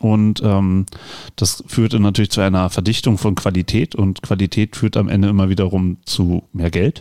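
Fairly low in pitch, this man speaks with a dark, mellow tone and fairly even intonation. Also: moderate pace, very even loudness, dry, close sound with no echo, very clean recording, silent background. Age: 40s. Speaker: podcast host. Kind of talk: casual chat.

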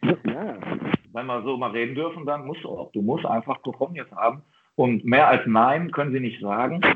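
Moderate pace and ordinary pitch variation from a man with a medium pitch. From Ruhr area, Germany. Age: 40s. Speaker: football coach. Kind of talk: interview. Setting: video call. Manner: halting, many fillers and repetitions.

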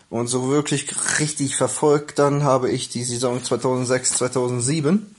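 A man's voice sits at a medium pitch with fairly even intonation. He speaks in a normal speaking voice. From Germany, Hildesheim (Lower Saxony). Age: 20s. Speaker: football fan. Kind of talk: personal fan story.

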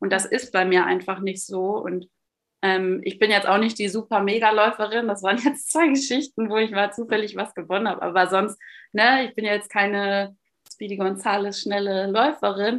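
A woman's plain, everyday voice at medium pitch, with fairly even intonation, a moderate pace and a quiet background. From Westphalia, Münsterland. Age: 30s. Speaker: long-term solo traveller and runner. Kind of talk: interview. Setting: video call.

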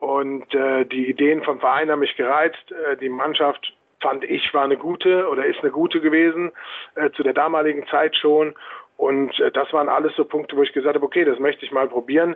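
In a monotone, flat intonation, a man talks at a fairly quick pace. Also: fairly high pitch for a man. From Hesse, near Frankfurt am Main. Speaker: handball coach. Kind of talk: interview.

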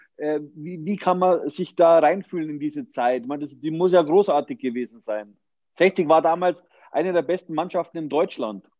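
In a plain, everyday voice, a man speaks at a moderate pace with a fairly high pitch, ordinary pitch variation and big swings in loudness. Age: 40s. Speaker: podcast host. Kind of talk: interview.

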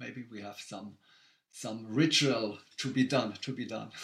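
A man speaks with a German accent. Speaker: race director. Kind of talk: casual chat. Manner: halting.

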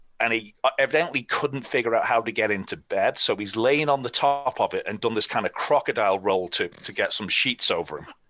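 A man with an English accent speaks at a moderate pace and medium pitch, his tone bright and sharp. The pitch variation is ordinary, and the background is quiet. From England. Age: 40s. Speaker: former sports PR executive. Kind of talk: casual interview storytelling.

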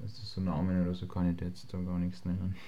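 With audible room echo, a man with a very deep, low voice speaks fairly quickly in a flat, monotone delivery. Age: 20s. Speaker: semi-pro footballer. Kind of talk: interview.

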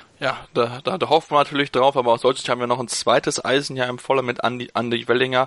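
A man at medium pitch, very fast and monotone with flat intonation, in a dry, close sound with no echo. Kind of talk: casual chat.

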